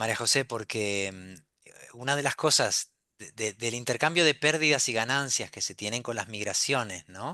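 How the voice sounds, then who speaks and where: A man talks with hardly any pauses, big swings in loudness and ordinary pitch variation in a bright, sharp tone. The sound is dry and close with no echo, and the background is quiet. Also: medium pitch for a man, fairly slow pace. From Argentina, then Spain from childhood. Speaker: novelist. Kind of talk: panel discussion. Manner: halting, many fillers and repeats.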